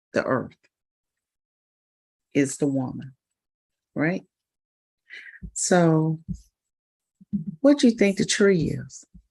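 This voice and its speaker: Soft-spoken and very slow, a woman with a fairly low pitch and dark, mellow tone uses lively intonation broken by long, frequent pauses. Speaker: spiritual livestream host. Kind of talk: casual livestream talk. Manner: halting, many repetitions.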